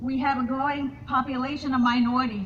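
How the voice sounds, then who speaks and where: A woman's high-pitched voice, monotone and flat in intonation, at a fairly quick pace over noticeable background noise. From Colombia. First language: Spanish. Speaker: political candidate. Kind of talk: campaign speech. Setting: candidate forum with audience. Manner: halting, many fillers and repetitions.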